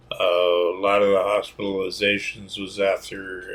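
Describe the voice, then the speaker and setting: A man's fairly slow speech is heard with noticeable background noise. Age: 60s. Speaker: military veteran. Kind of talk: personal testimony monologue. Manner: halting, many fillers.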